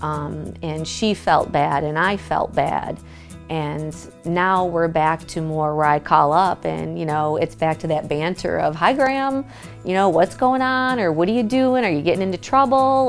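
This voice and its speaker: Music plays in the background. The speech goes at a fairly slow pace with very wide pitch swings. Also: woman, fairly low pitch for a woman. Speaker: grandchild and caregiver. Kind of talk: interview answer.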